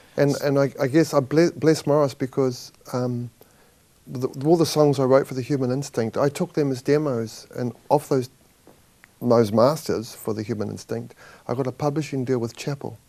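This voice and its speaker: With a New Zealand accent, a man speaks at a moderate pace in a dark, mellow tone with fairly even intonation. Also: medium pitch for a man. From New Zealand, Auckland. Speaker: rock musician. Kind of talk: interview. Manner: halting.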